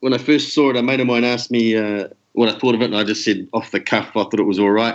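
Someone with a New Zealand accent talks at a very fast pace, with very even loudness and fairly even intonation. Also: man, medium pitch for a man. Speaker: listener super fan. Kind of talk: casual chat.

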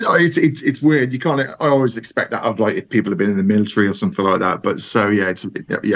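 A man talking at a very fast pace with a Brummie accent. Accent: Brummy (Birmingham English). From Birmingham, England. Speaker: listener, superfan. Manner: nervous.

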